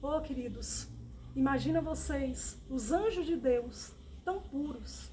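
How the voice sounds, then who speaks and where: A woman's warm-toned voice at a very slow pace, with audible room echo. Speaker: Bible teacher. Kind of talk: Bible study. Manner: warm, repetitive addressing.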